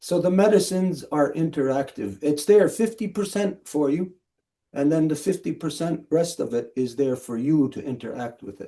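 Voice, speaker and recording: Lively intonation marks this man's fairly high-pitched voice, which has a dark, mellow tone. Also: fairly slow pace. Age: 60s. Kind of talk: spiritual teaching. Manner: slow, paused for interpretation.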